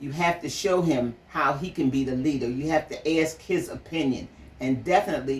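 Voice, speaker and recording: With a very deep, low pitch, a woman talks at a moderate pace using ordinary pitch variation. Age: 70s. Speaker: mother sharing parenting views. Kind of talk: conversational interview.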